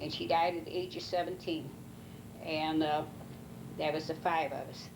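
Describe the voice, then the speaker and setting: With a rural Missouri accent, a woman speaks at a moderate pace in a very deep, low pitch, using monotone, flat intonation and long, frequent pauses, with audible room echo. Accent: rural Missouri American. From US Midwest, Missouri, Ste. Genevieve County. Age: 80s+. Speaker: elderly mother interviewed by family. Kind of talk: oral history interview. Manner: halting, many fillers.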